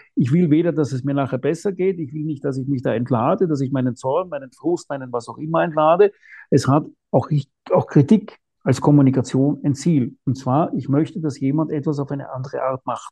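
The voice is somewhat breathy, with a dark, mellow tone. It moves at a fairly quick pace with ordinary pitch variation. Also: man, fairly high pitch for a man. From Austria, Vienna. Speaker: non-fiction author. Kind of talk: interview. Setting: remote call.

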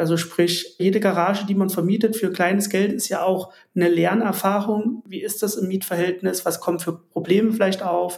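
Here a man speaks in a high voice at a moderate pace. His intonation is monotone and flat. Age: 30s. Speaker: insurance broker and garage investor. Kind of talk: interview.

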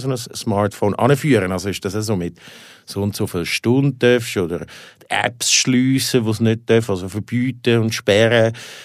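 Here a man speaks at a medium pitch with ordinary pitch variation and a moderate pace. The recording is very clean, with a silent background. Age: 40s. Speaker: podcast host and editor. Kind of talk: casual interview. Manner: halting.

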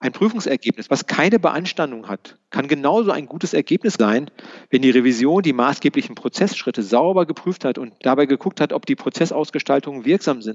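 Lively in intonation, a man with a fairly high pitch talks at a fairly quick pace in a normal speaking voice. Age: 60s. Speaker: retired internal auditor. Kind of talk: interview.

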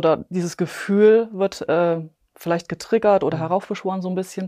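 A woman speaks at a fairly low pitch with a dark, mellow tone and fairly even intonation. The recording is very clean, with a silent background. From Bavaria, near Munich. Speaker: epigenetics coach and nutrition advisor. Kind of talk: interview, personal testimony.

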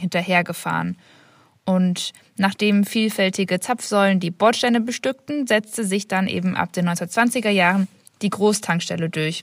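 On a very clean recording with a silent background and a dry, close sound with no echo, a woman speaks at a medium pitch and a moderate pace, somewhat breathy, with fairly even intonation. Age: 20s. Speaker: master's student. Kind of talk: voice message, prepared explanation.

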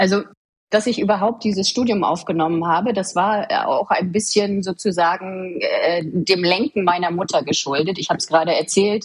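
A woman speaks at medium pitch in a plain, everyday voice. Her pace is moderate and her pitch varies an ordinary amount. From Mecklenburg-Vorpommern, eastern Germany (Waren an der Müritz). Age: 30s. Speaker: government official. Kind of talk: interview.

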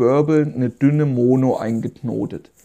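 Here is a man with a fairly high pitch. His tone is dark and mellow, and his intonation fairly even. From southern Thuringia, Germany (Meiningen). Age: 30s. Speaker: fishing guide. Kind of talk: solo podcast storytelling.

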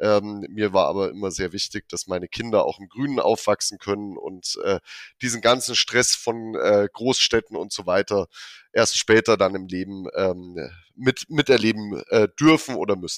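In an ordinary speaking voice, a man talks at a moderate pace and a fairly low pitch with ordinary pitch variation, on a very clean recording with a silent background and a dry, close sound with no echo. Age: 30s. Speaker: wealth manager. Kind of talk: corporate podcast interview.

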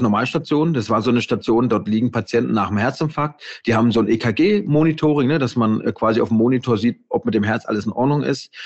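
A man talks in a normal speaking voice, fairly quickly, at a medium pitch with ordinary pitch variation. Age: 40s. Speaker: intensive care nurse and author. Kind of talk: casual interview.

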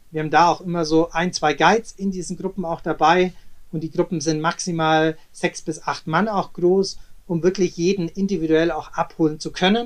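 The man's fairly even intonation sits at a high pitch. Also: moderate pace. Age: 30s. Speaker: travel company director and former swimmer. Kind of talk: interview. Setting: remote recording. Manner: hesitant, many filler sounds.

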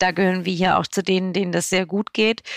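In a very clean recording with a silent background and a dry, close sound with no echo, a woman speaks in a monotone, flat intonation. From Swabia, southern Germany. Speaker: media company managing director. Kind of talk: podcast interview. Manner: clear, direct.

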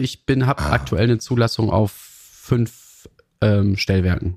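Vocal fry runs through this man's lively intonation as he talks at a fairly slow pace, the sound dry and close with no echo. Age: 40s. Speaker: train dispatcher. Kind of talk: interview conversation. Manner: hesitant with fillers.

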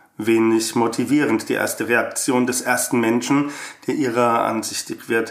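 With audible room echo, a man talks at a very slow pace. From Germany, Frankfurt. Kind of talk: reading aloud.

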